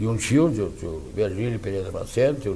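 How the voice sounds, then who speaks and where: A man's dark, mellow voice with lively intonation and audible room echo. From southern Brazil, Rio Grande do Sul (Lagoa Vermelha region). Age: 70s. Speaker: lawyer. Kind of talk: interview. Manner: halting.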